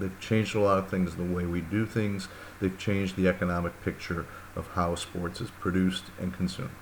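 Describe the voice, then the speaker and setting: In an American accent, a man with a very deep, low pitch speaks at a fairly quick pace with fairly even intonation, and audible room echo surrounds him. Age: 60s. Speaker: university lecturer. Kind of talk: lecture. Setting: recorded course video. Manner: casual, hesitant with fillers.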